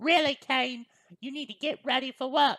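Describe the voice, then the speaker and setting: A female-sounding, put-on character voice, pitched high, speaks at a moderate pace. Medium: read story. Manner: sarcastic, bossy.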